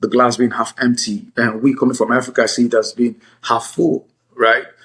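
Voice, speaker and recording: At a moderate pace, a man talks in a monotone, flat intonation at medium pitch. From Nigeria. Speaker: attorney and author. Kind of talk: interview.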